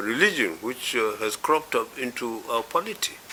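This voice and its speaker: Over noticeable background noise, a man speaks at a moderate pace and medium pitch with lively intonation. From Nigeria. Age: 80s+. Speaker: elder statesman. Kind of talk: interview. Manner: hesitant, many fillers.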